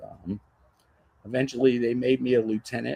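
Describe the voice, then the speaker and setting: A man speaks with an American accent. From Maryland, Montgomery County (Rockville). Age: 60s. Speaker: retired fire captain. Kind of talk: casual interview chat.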